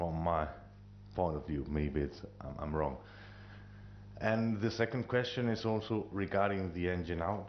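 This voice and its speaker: A man with a non-native accent and very deep, low pitch, lively intonation, a fairly slow pace, and long, frequent pauses. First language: not English. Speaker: airline pilot at audience Q&A. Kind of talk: audience question at symposium.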